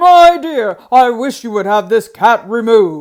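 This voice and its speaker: A woman puts on a character voice, pitched fairly high. Her pitch swings very widely and her loudness rises and falls a lot. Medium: read story. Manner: haughty but nervous.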